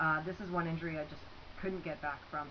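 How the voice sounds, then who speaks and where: A woman's very deep, low voice amid audible room echo and noticeable background noise. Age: 30s. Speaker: scholarship applicant, former athlete. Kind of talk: personal video statement. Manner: casual, with many fillers.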